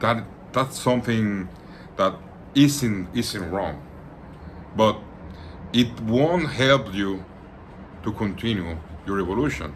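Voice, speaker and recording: Speaking very slowly with long, frequent pauses, a man with a Latin American accent uses a fairly low voice. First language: Spanish. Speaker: occult practitioner and channel host. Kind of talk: informal talk to camera. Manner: halting, with frequent repetitions; relaxed.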